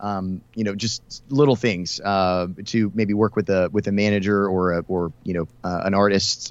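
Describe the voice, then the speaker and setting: Against a quiet background, a man with an American accent and a plain, everyday voice speaks at a fairly low pitch with fairly even intonation and hardly any pauses. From US South, Houston, Texas. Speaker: country radio host. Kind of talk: casual interview.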